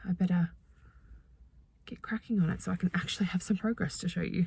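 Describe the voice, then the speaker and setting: A woman talks at a fairly quick pace in a somewhat breathy, medium-pitched voice. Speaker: knitting vlogger. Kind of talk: casual chat. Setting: in a car. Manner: fast.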